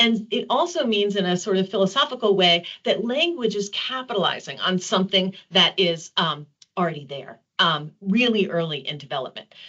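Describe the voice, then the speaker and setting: In a normal speaking voice, a woman with an American accent talks at a moderate pace and medium pitch. Her intonation is lively. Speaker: developmental psychology professor. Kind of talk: webinar presentation.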